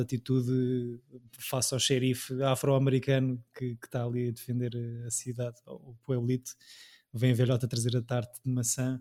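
A dark, mellow tone at a moderate pace, with monotone, flat intonation. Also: man. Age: 30s. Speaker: podcast host. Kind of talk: casual chat.

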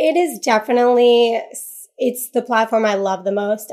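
Heard on a very clean recording with a silent background, a woman speaks at a moderate pace. She has a normal speaking voice with fairly even intonation. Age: 30s. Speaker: social media agency founder and influencer. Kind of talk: casual interview.

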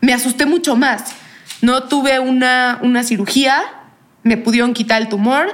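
A woman speaks in a normal speaking voice at a moderate pace. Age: young. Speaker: cancer survivor. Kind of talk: interview testimony.

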